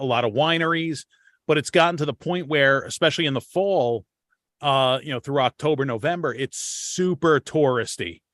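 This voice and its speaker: A man speaks with a New York accent at a moderate pace. His pitch is fairly high and varies in an ordinary way. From Long Island, New York. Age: 40s. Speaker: podcast host. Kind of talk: casual chat.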